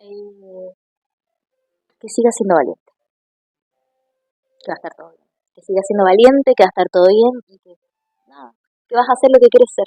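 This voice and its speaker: A woman with an Argentine accent and a fairly high pitch talks at a fairly quick pace with long, frequent pauses, big swings in loudness, ordinary pitch variation, and a dry, close sound with no echo. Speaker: actress and comedian. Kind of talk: interview.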